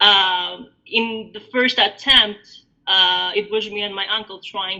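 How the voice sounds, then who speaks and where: A woman with an Albanian accent, a bright, sharp tone, medium pitch, and fairly even intonation. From Albania, raised in Greece from age 9. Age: 30s. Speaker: interviewee sharing life story. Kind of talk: podcast interview, personal story. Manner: hesitant, many fillers and repetitions.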